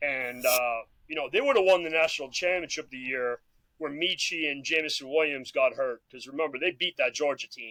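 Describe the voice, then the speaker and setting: An unremarkable speaking voice, this man's is fairly high and fairly quick, with ordinary pitch variation, big swings in loudness, and a dry, close sound with no echo. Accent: American. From Massachusetts. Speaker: former athlete, football coach. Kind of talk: casual chat.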